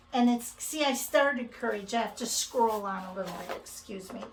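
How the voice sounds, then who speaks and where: A woman with an American accent talks at a fairly slow pace, her fairly high pitch showing ordinary variation. The room echo is audible, and background noise is noticeable. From Minnesota, US Midwest. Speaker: cross-stitch video host. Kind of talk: casual chat.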